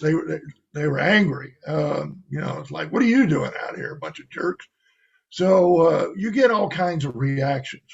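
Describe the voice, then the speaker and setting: Using a plain, everyday voice, a man with an American accent speaks at a moderate pace with a fairly high pitch and lively intonation. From US South, Cajun south Louisiana. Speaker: religious guest. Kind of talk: testimony.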